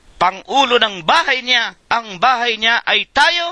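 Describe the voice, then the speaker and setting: A man's raised, projected voice, bright and sharp in tone, moves very slowly with lively intonation in a dry, close sound with no echo. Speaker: church preacher leading a Bible study. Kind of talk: sermon / Bible study preaching.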